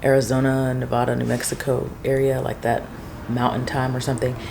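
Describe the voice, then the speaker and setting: Soft-spoken at a fairly quick pace, a woman is heard with audible room echo and noticeable background noise. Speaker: small business owner and vlogger. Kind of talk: casual vlog. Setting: garage.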